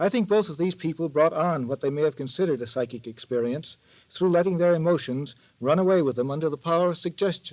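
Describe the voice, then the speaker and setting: Pitched fairly high, a man's voice races along at a very fast pace. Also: ordinary pitch variation. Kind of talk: 1930s radio drama, scripted expert commentary.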